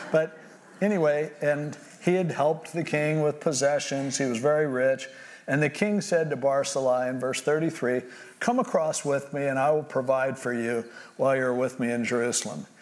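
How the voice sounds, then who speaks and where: Speaking at a moderate pace in a plain, everyday voice, a man uses a fairly high pitch with ordinary pitch variation. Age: 60s. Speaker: pastor. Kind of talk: sermon.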